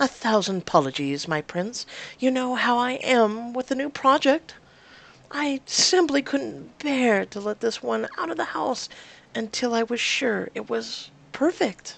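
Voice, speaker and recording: Using a put-on character voice, a woman speaks high and sing-song. Her pace is moderate. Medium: game stream. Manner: sing-song, theatrical.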